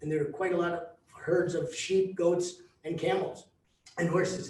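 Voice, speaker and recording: In a New Jersey accent, a man speaks with a high pitch and fairly even intonation, with audible room echo. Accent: American (New Jersey). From US, New Jersey, Mongolian-American community. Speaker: travel company founder. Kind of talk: presentation to tour group. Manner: halting, many fillers.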